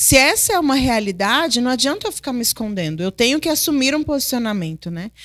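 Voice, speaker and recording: High-pitched female voice, close and dry, without any echo. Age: 30s. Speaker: host's wife, mother. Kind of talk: Bible study conversation.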